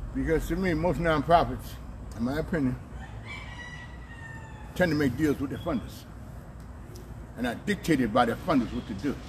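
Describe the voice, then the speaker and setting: Over noticeable background noise, a man talks at a fairly quick pace in a fairly high pitch, with ordinary pitch variation and long, frequent pauses. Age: 60s. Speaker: community activist, political action committee president. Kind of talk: interview answer. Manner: forceful, outspoken.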